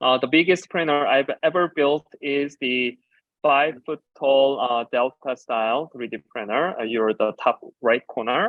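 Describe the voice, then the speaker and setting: Fairly slow speech from a man with a Korean accent, at a fairly high pitch with ordinary pitch variation. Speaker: designer and educator. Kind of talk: conference talk.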